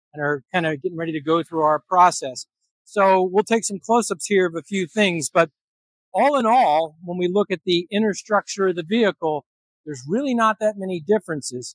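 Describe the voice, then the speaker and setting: A man talks at a fairly quick pace in a high voice with ordinary pitch variation. The background is quiet and the sound is dry with no echo. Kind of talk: technical walkaround explanation. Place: workshop.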